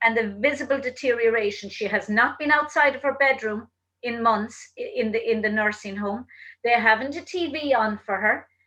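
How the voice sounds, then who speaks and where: In an Irish accent, a woman speaks at a fairly high pitch and moderate pace, her tone bright and sharp with ordinary pitch variation. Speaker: talk show host. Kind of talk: casual interview chat.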